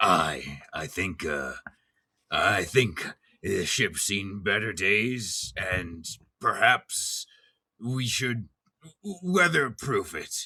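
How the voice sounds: A man uses a put-on character voice, raspy and medium in pitch. He speaks very slowly, with long, frequent pauses.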